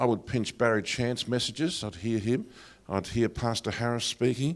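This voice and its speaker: At a moderate pace and medium pitch, a man with an Australian accent speaks with ordinary pitch variation on a very clean recording with a silent background. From Australia, Greek heritage. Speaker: pastor. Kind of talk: lecture. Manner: hesitant, many fillers.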